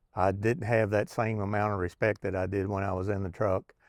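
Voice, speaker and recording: With a Kentucky accent, a man speaks at a fairly quick pace and fairly low pitch in a monotone, flat intonation. The very clean recording has a silent background and a dry, close sound with no echo. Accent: Southern US (Kentucky). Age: 60s. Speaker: retired truck driver, vlogger. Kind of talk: casual vlog monologue. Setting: outdoors on back porch. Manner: halting, many fillers.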